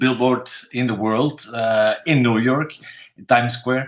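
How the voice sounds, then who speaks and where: Speaking with a Dutch accent, a man talks in a medium pitch. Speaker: painter. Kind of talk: interview. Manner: halting.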